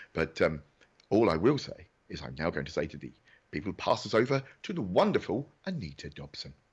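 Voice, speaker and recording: The pitch swings very widely and the loudness rises and falls a lot. The voice is somewhat breathy. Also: man, fairly low pitch for a man, fairly quick pace. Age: 50s. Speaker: awards show presenter. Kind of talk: live online awards hosting. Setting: home recording studio, video call. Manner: animated.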